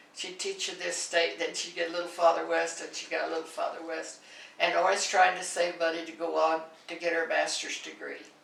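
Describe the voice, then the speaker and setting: With an American accent, a woman speaks at a fairly quick pace with big swings in loudness, amid audible room echo and noticeable background noise. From central Kansas, US. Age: 80s+. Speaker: oral history interviewee. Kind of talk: oral history interview. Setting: in-person interview.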